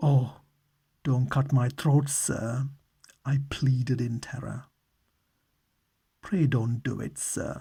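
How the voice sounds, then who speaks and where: With a British accent, a man speaks very slowly with long, frequent pauses, his somewhat breathy voice dark and mellow in tone and his intonation fairly even. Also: medium pitch for a man. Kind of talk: ASMR audiobook reading. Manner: calm, soft, meditative.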